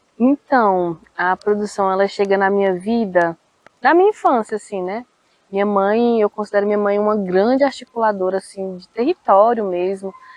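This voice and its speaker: A woman with a plain, everyday voice at a medium pitch and moderate pace, with ordinary pitch variation and big swings in loudness. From Brazil, Federal District (Planaltina). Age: 20s. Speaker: cultural producer and poet. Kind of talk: interview.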